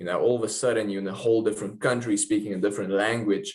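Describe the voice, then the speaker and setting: A man at a very fast pace, his pitch fairly low. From South Africa. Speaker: professional football kicker. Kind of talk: interview testimony.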